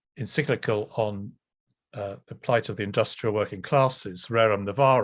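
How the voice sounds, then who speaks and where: Over a quiet background, a man with an English accent speaks at a moderate pace. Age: 60s. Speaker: professor and priest. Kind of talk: lecture. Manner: hesitant, many ums.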